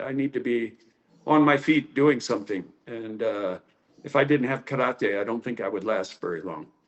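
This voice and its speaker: A man speaks at a moderate pace in an ordinary speaking voice with an American accent. His pitch varies in an ordinary way. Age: 60s. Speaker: karate teacher. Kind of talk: interview.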